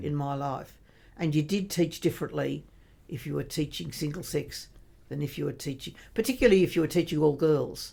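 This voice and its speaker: A woman with an Australian accent talks at a fairly quick pace. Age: 80s+. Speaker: retired teacher and religious sister. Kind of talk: podcast interview answer. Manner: quick-witted, lively.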